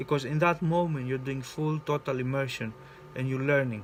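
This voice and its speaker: Music plays behind a man speaking. His voice is medium in pitch with ordinary variation. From Greece. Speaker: spiritual coach. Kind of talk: personal vlog monologue. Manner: halting, with many repetitions and fillers.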